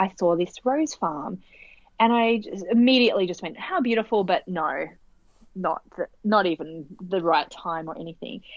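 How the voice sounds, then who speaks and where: A woman with an Australian accent, medium in pitch, with lively intonation at a moderate pace. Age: 30s. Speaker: author and business coach. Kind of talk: casual interview chat.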